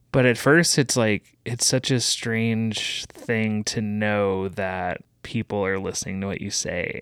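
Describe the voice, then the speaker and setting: A man speaks in a plain, everyday voice at a medium pitch, with ordinary pitch variation and hardly any pauses. The recording is very clean, with a silent background. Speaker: podcast producer. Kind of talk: casual conversation. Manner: casual, conversational.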